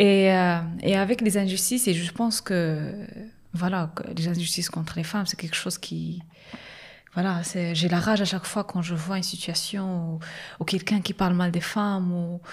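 A woman talks at a moderate pace in a fairly low, somewhat breathy voice with flat, monotone intonation. She leaves long, frequent pauses. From Morocco, Agadir. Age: young. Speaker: social entrepreneur. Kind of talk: interview. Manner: halting.

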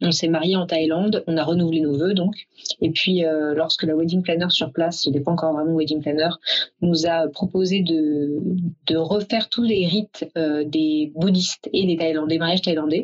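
Speaking at a moderate pace, a woman has a fairly low pitch, fairly even intonation and very even loudness. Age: 30s. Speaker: event planner, company founder. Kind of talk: interview. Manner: hesitant, many filler sounds.

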